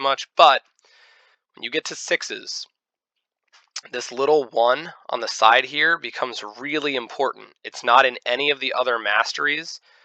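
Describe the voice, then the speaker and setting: Dry and close with no echo, a man speaks at a medium pitch with ordinary pitch variation. His tone is bright and sharp. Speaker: gaming video creator. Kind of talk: game tutorial. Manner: fast; rambling, many fillers.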